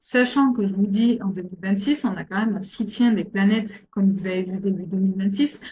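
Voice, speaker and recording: Delivery comes at a fairly quick pace with fairly even intonation. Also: woman, medium pitch for a woman. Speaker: astrologer. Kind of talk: astrology forecast talk. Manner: fast; halting, many repetitions and fillers.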